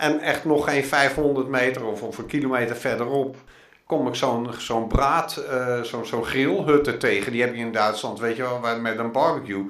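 A man keeps a moderate pace in a room with audible echo and noticeable noise in the background. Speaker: pilgrim and long-distance walker. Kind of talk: interview. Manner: halting.

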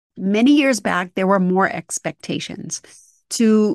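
A woman with an ordinary speaking voice talks at a fairly slow pace with ordinary pitch variation, in a dry, close sound with no echo and a quiet background. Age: 50s. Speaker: podcast host. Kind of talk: solo monologue.

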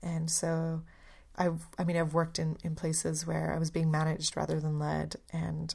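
A woman with a Canadian accent talks at a moderate pace in a fairly low, somewhat breathy voice, recorded very cleanly with a silent background. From Canada. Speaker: podcast host. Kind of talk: solo reflective podcast monologue.

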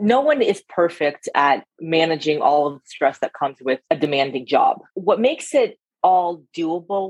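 Using a normal speaking voice with a General American accent, a woman speaks at a moderate pace with a fairly low pitch and lively intonation. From California, San Francisco Bay Area. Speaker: investment firm partner. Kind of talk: interview.

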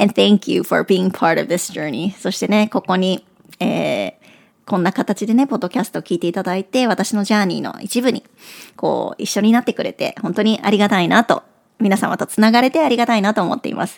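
In a dry, close recording with no echo, a woman talks fairly quickly at a medium pitch with ordinary pitch variation. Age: 40s. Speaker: podcast host, career coach. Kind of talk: casual monologue. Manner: animated.

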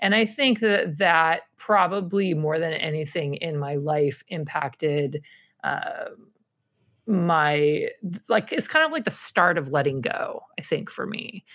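A woman with a fairly low pitch and ordinary pitch variation at a very slow pace. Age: 40s. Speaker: scrapbooking instructor. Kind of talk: casual chat.

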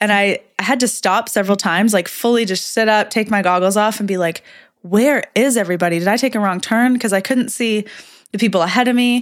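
A woman speaks at a fairly quick pace in a plain, everyday voice, fairly high in pitch with ordinary pitch variation. Her loudness stays very even on a very clean recording with a silent background. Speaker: professional triathlete and podcast host. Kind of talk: casual chat.

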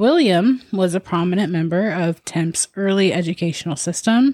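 A woman speaks in an unremarkable speaking voice at medium pitch, with ordinary pitch variation, a moderate pace, and a dry, close sound with no echo. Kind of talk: ghost story telling, told as a casual narrated account. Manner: chatty, upbeat, laughing.

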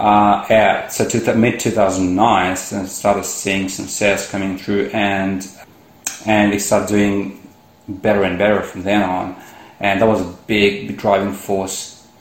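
Over noticeable background noise and audible room echo, a man speaks fairly slowly at a fairly low pitch with monotone, flat intonation. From India. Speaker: entrepreneur. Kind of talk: interview. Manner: halting, repeats words.

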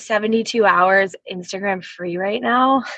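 A woman speaks in a normal speaking voice with an American accent and a fairly high pitch. Her pitch varies in an ordinary way, and the sound is dry and close with no echo. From US Northeast (New Jersey). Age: 30s. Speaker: brand designer and entrepreneur. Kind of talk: casual interview chat.

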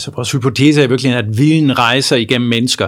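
A very fast, medium-pitched man's voice with vocal fry. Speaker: economics professor. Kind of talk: interview. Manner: halting, many repetitions.

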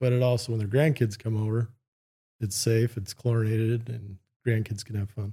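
A man with an American accent speaks at medium pitch in a dark, mellow, somewhat breathy tone. His intonation is monotone and flat. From California. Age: 40s. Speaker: splash pad company executive. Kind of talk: casual podcast interview.

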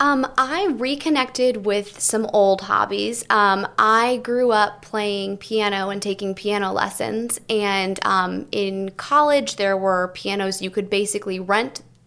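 Fairly slow speech with hardly any pauses and ordinary pitch variation plays over noticeable background noise. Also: woman, medium pitch for a woman. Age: 20s. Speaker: TV news reporter. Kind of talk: casual chat.

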